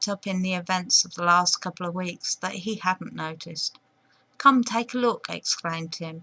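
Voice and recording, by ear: A natural voice reads aloud. Its pitch shifts in an ordinary way.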